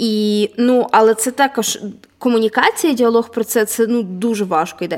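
With a plain, everyday voice, a woman talks at a moderate pace and a fairly high pitch, with ordinary pitch variation. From Vinnytsia, Ukraine. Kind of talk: casual chat. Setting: large hall, basement.

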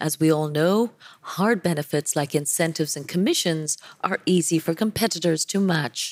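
At a moderate pace, the speech moves with ordinary pitch variation in a dry, close sound with no echo. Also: woman, low pitch for a woman.

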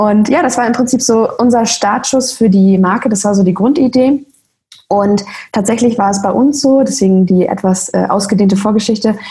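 Her voice is fairly high but dark and mellow in tone, somewhat breathy, with ordinary pitch variation. This woman keeps a moderate pace and very even loudness. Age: 20s. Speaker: social media creator. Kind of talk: interview.

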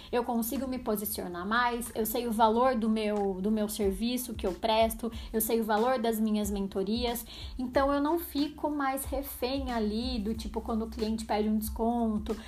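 Somewhat breathy delivery at a fairly slow pace, with audible room echo. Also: woman, fairly high pitch for a woman, hardly any pauses. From São Paulo state interior, Brazil. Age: 30s. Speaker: podcast host. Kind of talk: solo podcast monologue. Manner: animated.

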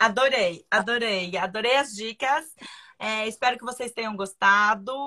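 A woman's fairly high-pitched voice, bright and sharp in tone, with fairly even intonation. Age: 40s. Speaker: live stream host. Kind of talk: casual chat.

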